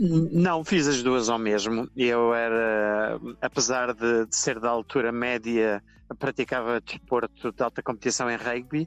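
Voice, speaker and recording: In an unremarkable speaking voice of medium pitch, a man talks at a fairly slow pace with very even loudness, the sound dry and close with no echo. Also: ordinary pitch variation. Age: 60s. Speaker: journalist. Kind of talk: interview.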